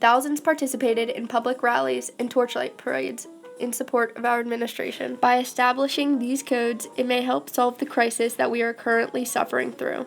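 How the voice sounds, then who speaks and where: Against music in the background, a woman speaks at a high pitch and a fairly quick pace. Her intonation stays fairly even. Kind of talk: mock government infomercial.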